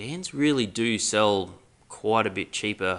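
An Australian accent marks this man's bright, sharp tone, and his pitch varies in an ordinary way. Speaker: podcast host. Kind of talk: casual chat.

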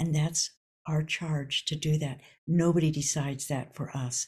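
Her voice is very deep and low for a woman, and somewhat breathy. The pitch varies in an ordinary way. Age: 70s. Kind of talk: casual interview chat. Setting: podcast interview.

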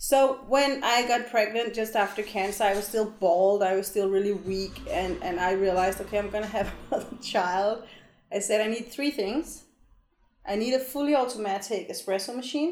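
A woman in a Danish accent talks at a moderate pace with a fairly high pitch and ordinary pitch variation, with audible room echo. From Denmark. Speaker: long-term traveling parent. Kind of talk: casual chat.

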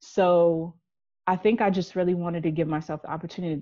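This is a woman speaking. Her pitch is fairly low. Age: 30s. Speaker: traveler. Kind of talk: casual chat. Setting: remote call. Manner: animated.

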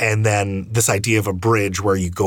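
At a moderate pace, a man with a fairly low pitch speaks in a somewhat breathy voice with monotone, flat intonation. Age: 30s. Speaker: podcast host. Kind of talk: interview conversation. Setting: video call.

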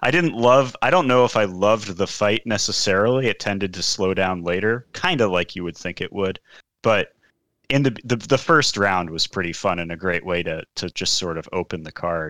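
A man talks in a bright, sharp tone. The recording is very clean with a silent background, and the sound is dry and close with no echo. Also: fairly low pitch for a man, ordinary pitch variation, moderate pace. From Seattle, US. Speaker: MMA podcast co-host. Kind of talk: casual chat about MMA events.

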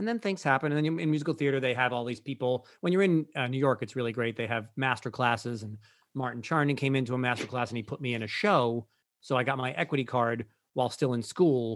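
On a very clean recording with a silent background, a man talks at a very fast pace, with a medium pitch and ordinary pitch variation. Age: 50s. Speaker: Broadway performer and breathwork teacher. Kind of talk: interview.

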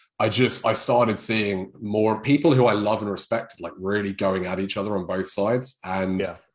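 A man with a British accent speaks at a fairly low pitch and moderate pace. He barely pauses, and his intonation stays fairly even. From England. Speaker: chiropractor.

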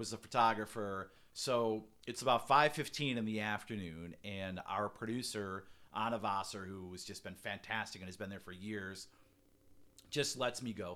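The voice has a bright, sharp tone, ordinary pitch variation and big swings in loudness, moving at a moderate pace. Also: man, fairly low pitch for a man. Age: 50s. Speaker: helicopter news reporter. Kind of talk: casual chat. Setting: studio.

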